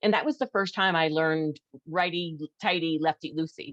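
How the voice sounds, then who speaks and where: With an American accent, a woman speaks at a fairly quick pace in a fairly low pitch, recorded dry and close with no echo, in a plain, everyday voice. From New York. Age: 60s. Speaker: air racer and pilot. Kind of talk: casual chat.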